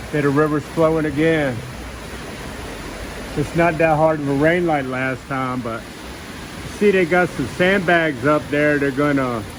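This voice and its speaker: An American accent at a fairly slow pace, with long, frequent pauses, ordinary pitch variation, audible room echo and noticeable background noise. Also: man, fairly high pitch for a man. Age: 60s. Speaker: retired vlogger. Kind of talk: casual vlog narration.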